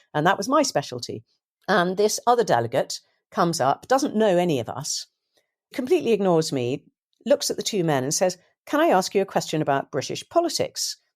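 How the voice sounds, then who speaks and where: Very wide pitch swings and vocal fry mark this fairly quick delivery, recorded very clean and dry, close with no echo over a silent background. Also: woman, medium pitch for a woman. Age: 60s. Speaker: journalist and author. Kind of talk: interview.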